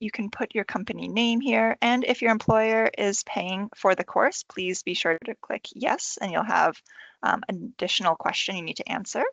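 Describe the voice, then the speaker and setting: With an ordinary speaking voice, a woman talks at a moderate pace and a fairly high pitch, with ordinary pitch variation. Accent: American. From United States. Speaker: university enrolment advisor. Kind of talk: tutorial. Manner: casual, friendly.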